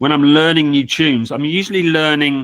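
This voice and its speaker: A man with a southern English accent at a fairly quick pace. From England. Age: 60s. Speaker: multi-instrumentalist and old-time fiddler. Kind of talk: interview. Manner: halting, many fillers and restarts.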